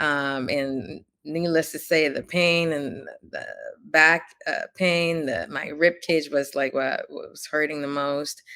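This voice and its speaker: Very slow speech with a Spanish accent, bright and sharp in tone, fairly even in intonation, with big swings in loudness on a very clean recording against a silent background. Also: woman, very deep, low pitch for a woman. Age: 30s. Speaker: author and entrepreneur, Navy veteran. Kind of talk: interview. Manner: halting, many fillers.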